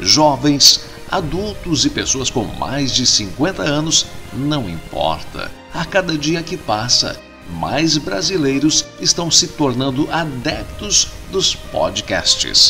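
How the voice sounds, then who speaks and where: Very slow speech from a man over background music. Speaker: radio announcer, voice-over artist. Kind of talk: podcast narration.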